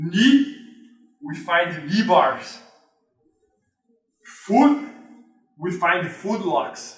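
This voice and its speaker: With a Brazilian accent, a man talks at a very slow pace in a high pitch with very wide pitch swings, and audible room echo around him. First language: Portuguese. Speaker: jiu-jitsu instructor. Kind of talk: tutorial. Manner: halting.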